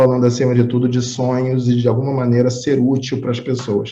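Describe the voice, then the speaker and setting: A man talks at a fairly quick pace. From Rio de Janeiro, Brazil. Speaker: interview podcast host. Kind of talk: interview.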